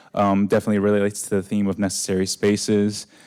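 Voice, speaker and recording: In a very clean recording with a silent background, a man with a fairly low pitch and a dark, mellow tone talks at a fairly quick pace, the sound dry and close with no echo. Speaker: event facilitator. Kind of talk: event presentation. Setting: event venue with audience. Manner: monotone.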